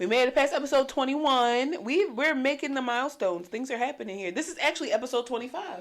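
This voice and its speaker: A loud woman with a high pitch, an animated tone and lively intonation at a very fast pace. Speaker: podcast co-host. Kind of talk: casual chat.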